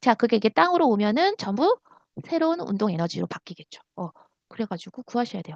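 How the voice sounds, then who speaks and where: A woman's animated voice with very wide pitch swings, a very fast pace, a dry, close sound with no echo, and a quiet background. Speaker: science teacher. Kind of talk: lecture.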